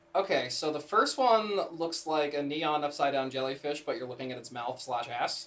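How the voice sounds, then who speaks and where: A man's fairly high voice, an unremarkable speaking voice, with ordinary pitch variation, a moderate pace and hardly any pauses. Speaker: podcast co-host. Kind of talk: casual chat. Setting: same room as co-host.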